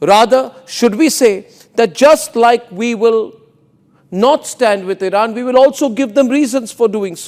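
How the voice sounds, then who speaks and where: A man with an extremely high pitch speaks in a passionate tone at a fairly slow pace. His pitch variation is ordinary, while his loudness swings widely. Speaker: news anchor. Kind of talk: news commentary monologue. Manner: passionate, forceful, rhetorical.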